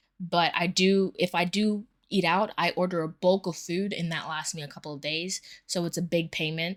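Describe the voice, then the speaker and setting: A monotone, flat delivery comes through in a dry, close sound with no echo on a very clean recording with a silent background. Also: woman, fairly low pitch for a woman. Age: 20s. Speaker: personal finance vlogger. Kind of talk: casual budget vlog. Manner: fast; casual with many fillers.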